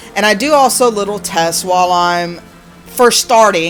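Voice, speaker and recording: Over music in the background, a woman speaks at a medium pitch with ordinary pitch variation. Her tone is animated. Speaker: spiritual content creator. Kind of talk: casual vlog monologue.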